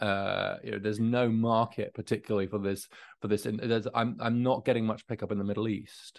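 Against a quiet background, a man talks at a fairly quick pace in a fairly low voice with monotone, flat intonation. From England. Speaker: author and policy researcher. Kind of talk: interview.

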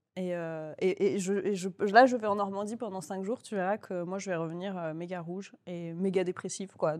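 In a very clean recording with a silent background, a woman with an ordinary speaking voice talks at a moderate pace and medium pitch, with fairly even intonation and hardly any pauses. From Toulouse, southern France. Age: 30s. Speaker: comedian and novelist. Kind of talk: casual chat.

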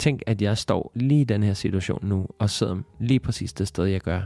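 In a very clean recording with a silent background and dry, close sound with no echo, a man with a fairly low pitch and a dark, mellow tone speaks at a moderate pace with ordinary pitch variation. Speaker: podcast host and self-love coach. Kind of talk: solo podcast monologue. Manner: hesitant with many fillers.

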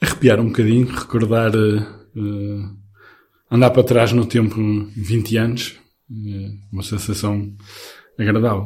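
At a fairly slow pace, a man talks with long, frequent pauses. His fairly low, somewhat breathy voice stays monotone and flat. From northern Portugal, Penafiel. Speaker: pilgrimage participant. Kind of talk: casual chat.

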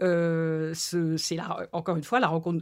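The recording is very clean with a silent background. A woman speaks in a fairly low voice. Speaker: book publisher. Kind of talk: interview. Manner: hesitant, many fillers.

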